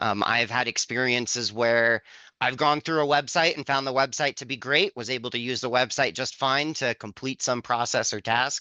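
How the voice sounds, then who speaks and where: A man speaks with an American accent at medium pitch and moderate pace, with fairly even intonation and hardly any pauses. It is an ordinary speaking voice. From Montana, US. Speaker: blind accessibility expert. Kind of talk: webinar demo discussion. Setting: online webinar.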